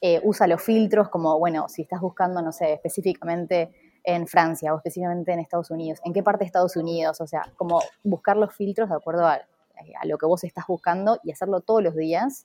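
This is a plain, everyday voice speaking at a fairly quick pace. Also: woman, fairly low pitch for a woman, fairly even intonation. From Argentina, Junín (Buenos Aires province). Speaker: travel content creator and house sitter. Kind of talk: interview.

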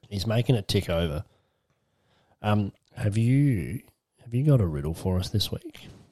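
A man with an Australian accent, a dark, mellow tone and fairly low pitch, long, frequent pauses, in a dry, close sound with no echo. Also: lively intonation, moderate pace. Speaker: podcast co-host. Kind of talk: casual chat. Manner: laughs often.

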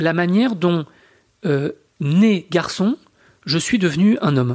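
In a very clean recording with a silent background, a man speaks at a high pitch with lively intonation. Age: 40s. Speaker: historian and author. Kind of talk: interview. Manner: hesitant, many fillers.

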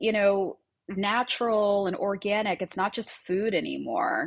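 Speaking at a fairly slow pace, a woman with a slight Long Island accent comes through over a quiet background. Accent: Long Island New York, slight. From US Northeast, Long Island, New York. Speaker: brand founder and CEO. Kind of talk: casual interview chat. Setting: video call from Miami.

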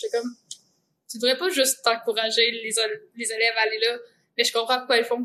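In a Quebec accent, a woman with a fairly high pitch and a bright, sharp tone talks at a fairly quick pace with fairly even intonation, big swings in loudness, and long, frequent pauses. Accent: Québécois French. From Centre-du-Québec, Quebec. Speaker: composer. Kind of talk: casual chat.

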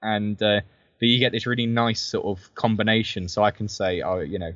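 A man with a southern English accent speaks at a moderate pace in a fairly low pitch with fairly even intonation. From southern England, Brighton. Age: 20s. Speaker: military historian and author. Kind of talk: interview. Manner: hesitant, many fillers.

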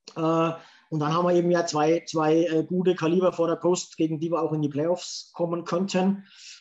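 This man has a high-pitched voice. His intonation stays monotone and flat. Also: moderate pace. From Franconia, Germany. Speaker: podcast host. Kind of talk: casual chat.

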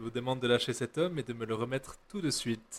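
With a normal speaking voice and lively intonation, a man talks at a moderate pace in a dry, close sound with no echo, on a very clean recording with a silent background. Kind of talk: literary audiobook reading, third-person narration. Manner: measured, expressive narration.

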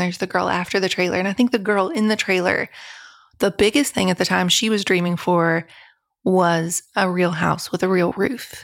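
Fairly quick in pace, the speech uses ordinary pitch variation. It is a normal speaking voice with an American accent. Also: woman. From US South, rural West Virginia. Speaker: author. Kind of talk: interview.

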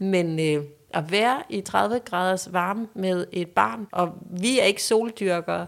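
Words come at a very slow pace, and the pitch varies in an ordinary way. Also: woman, medium pitch for a woman. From Denmark, Funen (Næsby near Odense). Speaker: lifestyle expert and podcaster. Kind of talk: casual chat.

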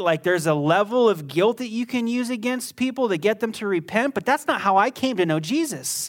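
A man's high-pitched voice swings very widely in pitch at a moderate pace on a very clean recording with a silent background. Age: 30s. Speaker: pastor. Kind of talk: sermon. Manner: emphatic.

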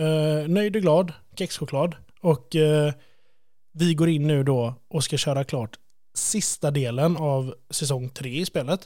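The recording is very clean, with a silent background. A man with a dark, mellow tone speaks at a very slow pace with ordinary pitch variation. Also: fairly high pitch for a man. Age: 30s. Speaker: podcast host. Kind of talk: casual chat.

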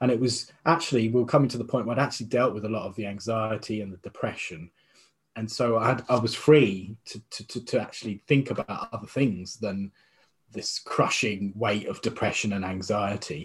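This man talks at a fairly quick pace with a British accent, a medium pitch, and ordinary pitch variation. His voice is somewhat breathy, with big swings in loudness. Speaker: interview guest. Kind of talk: interview.

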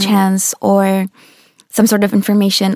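In a dry, close sound with no echo, a woman speaks at a fairly slow pace and medium pitch with monotone, flat intonation. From Russia, Saint Petersburg. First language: Russian. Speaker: dance teacher. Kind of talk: interview. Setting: studio.

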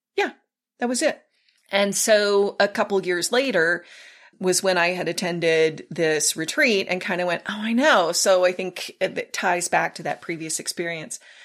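A woman with an American accent, an ordinary speaking voice, ordinary pitch variation and a moderate pace. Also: medium pitch for a woman, very clean recording, silent background. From South Texas. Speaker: pastor. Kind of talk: casual chat.

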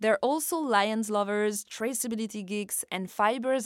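A woman with a French accent at a fairly high pitch and a fairly slow pace, in a very clean recording with a silent background and a dry, close sound with no echo. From France. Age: 30s. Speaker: podcast host and journalist. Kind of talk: scripted narration.

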